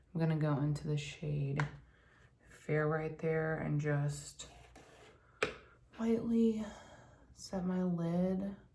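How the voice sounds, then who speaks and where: At a very slow pace with long, frequent pauses, a quiet, somewhat breathy voice of dark, mellow tone keeps very even loudness and ordinary pitch variation, with audible room echo. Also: woman, very deep, low pitch for a woman. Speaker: beauty vlogger. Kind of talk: casual chat while doing makeup tutorial. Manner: quiet, hushed.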